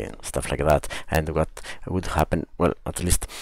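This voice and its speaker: A man's very deep, low voice with vocal fry and a non-native accent. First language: not English. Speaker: book reviewer. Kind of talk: book review video podcast. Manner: hesitant, many fillers.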